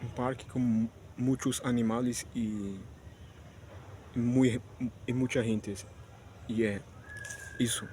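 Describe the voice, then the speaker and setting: Speech comes at a very slow pace in monotone, flat intonation. Long, frequent pauses break it up. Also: man, medium pitch for a man. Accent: Spanish. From Spanish-speaking country, not Brazil. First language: Spanish (speaking Portuguese). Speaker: vlogger. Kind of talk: casual vlog monologue. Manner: halting, many restarts and fillers.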